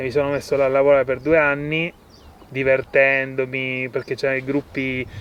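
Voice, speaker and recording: The man talks at a fairly quick pace in a medium pitch. His intonation is monotone and flat. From Sicily, Italy. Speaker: permaculture farmer. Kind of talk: casual interview. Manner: halting, with fillers and restarts.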